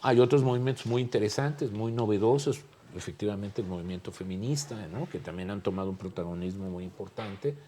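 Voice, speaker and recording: At a moderate pace, a man with a fairly low pitch and a dark, mellow tone talks with ordinary pitch variation. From Mexico. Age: 60s. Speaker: political scientist. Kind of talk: panel discussion.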